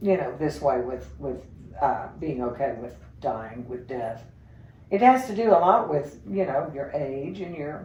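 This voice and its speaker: A woman with a very deep, low pitch speaks fairly slowly, her voice making very wide pitch swings and big swings in loudness amid audible room echo. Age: 70s. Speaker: interview guest. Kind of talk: casual interview conversation.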